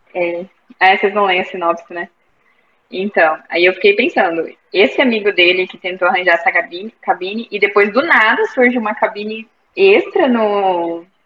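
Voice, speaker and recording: A plain, everyday voice from a woman, medium in pitch, at a moderate pace with ordinary pitch variation. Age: 20s. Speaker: book club member, university student. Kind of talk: casual chat. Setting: video call.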